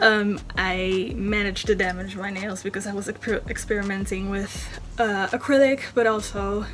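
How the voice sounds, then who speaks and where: The speech comes in a Dutch accent at a moderate pace, with monotone, flat intonation. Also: woman. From Netherlands. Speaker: beauty vlogger. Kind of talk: tutorial. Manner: halting, many fillers.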